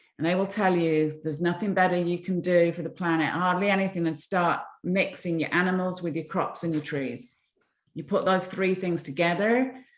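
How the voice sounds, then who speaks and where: A woman in an English accent, fairly low in pitch, at a moderate pace with ordinary pitch variation. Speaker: environmental entrepreneur. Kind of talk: interview talk, storytelling.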